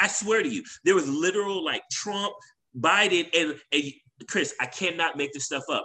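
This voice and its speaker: A man's bright, sharp tone, high in pitch, with lively intonation. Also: moderate pace. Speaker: podcast co-host. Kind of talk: casual conversation between friends.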